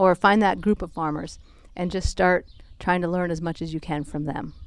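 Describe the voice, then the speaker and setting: Here a woman has a normal speaking voice with a fairly low pitch. She keeps a moderate pace and fairly even intonation. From Minnesota. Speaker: soil health specialist. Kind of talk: casual chat interview. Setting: outdoors on a porch.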